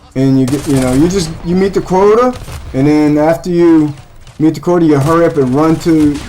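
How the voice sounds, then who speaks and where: With noticeable background noise behind him, a man speaks at a moderate pace in a fairly high pitch with ordinary pitch variation. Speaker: gaming streamer. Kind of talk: casual chat. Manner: loud.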